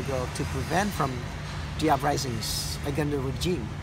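A man talks with a Cambodian accent. Loud background noise fills the recording. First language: Khmer. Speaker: tour guide. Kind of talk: personal testimony of surviving the Khmer Rouge era. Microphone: phone near.

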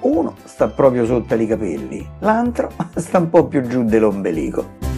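A man with a Roman accent speaks at a fairly slow pace in a playful tone. His pitch swings very widely, with music in the background. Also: medium pitch for a man. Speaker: poet. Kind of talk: poetry reading. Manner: playful, humorous.

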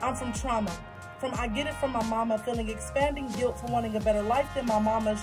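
The speaker goes at a moderate pace with clear music playing in the background. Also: woman. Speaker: spoken word poet. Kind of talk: spoken word poetry performance. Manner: passionate.

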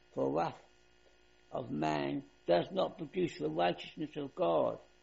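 A man speaks at a very slow pace. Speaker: pastor preaching. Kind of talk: sermon scripture reading. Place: church.

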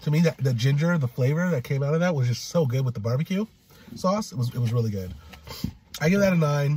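A man talks very fast with lively intonation in a fairly high pitch, against noticeable background noise. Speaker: food vlogger. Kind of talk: casual food review chat. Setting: in a car.

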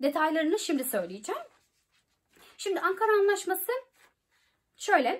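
A woman at a moderate pace over a quiet background. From Turkey. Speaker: YouTuber giving study-abroad advice. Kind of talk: informational vlog. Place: home room. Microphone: phone near.

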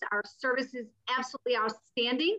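Against a quiet background, a woman speaks at a moderate pace with a high pitch and a bright, sharp tone. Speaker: cruise line representative. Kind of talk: sales presentation on a panel. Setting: online panel call. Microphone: video call.

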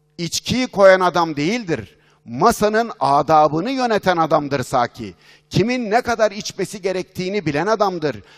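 A man's high voice with lively intonation at a moderate pace, set against a quiet background. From Turkey. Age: 50s. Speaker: business consultant and speaker; speaker. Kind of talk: conference keynote talk. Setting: stage with audience. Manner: animated. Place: hall. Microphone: headset.

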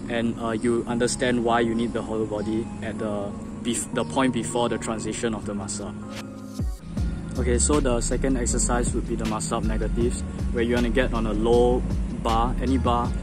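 A man at a fairly quick pace, with dry, echo-free sound and clear music in the background. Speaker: calisthenics hobbyist. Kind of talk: casual tutorial talk to camera. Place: garden. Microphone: phone near.

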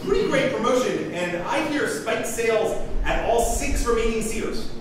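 Strong room echo and noticeable background noise surround a man who speaks at a fairly slow pace. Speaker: comedian. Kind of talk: stand-up comedy monologue. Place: stage.

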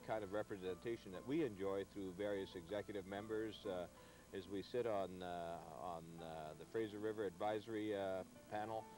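Clear music plays behind a man with a fairly low pitch and ordinary pitch variation, the sound dry with no echo. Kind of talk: interview answer. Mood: calm, earnest. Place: waterside. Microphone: lapel.

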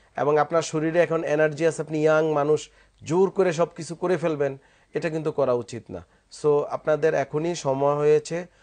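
Against a quiet background, a man with a plain, everyday voice talks at a fairly high pitch with fairly even intonation. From Bangladesh. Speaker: physiotherapy doctor; guest. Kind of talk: medical advice on TV talk show; interview answer. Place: studio. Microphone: lapel.

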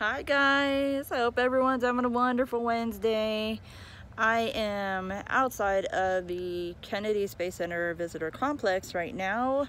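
A woman talks at a fairly slow pace with ordinary pitch variation. The sound is dry with no echo, and there is light background noise. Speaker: rideshare driver vlogger. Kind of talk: casual vlog chat. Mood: relaxed, mildly excited. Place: street. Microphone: phone near.

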